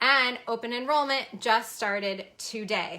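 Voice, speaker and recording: With ordinary pitch variation, a woman talks in a bright, sharp tone. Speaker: fashion business coach. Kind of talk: sales pitch. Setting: live stream. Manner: fast.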